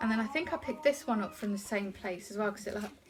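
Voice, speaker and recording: With an English accent, a woman speaks at a fairly high pitch over noticeable background noise. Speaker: haul vlogger. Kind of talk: casual haul video talk. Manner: fast; hesitant, many ums.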